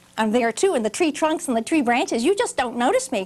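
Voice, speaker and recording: Using a put-on character voice, a woman speaks high and breathy, her pitch swinging very widely. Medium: read story. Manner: knowing, self-assured.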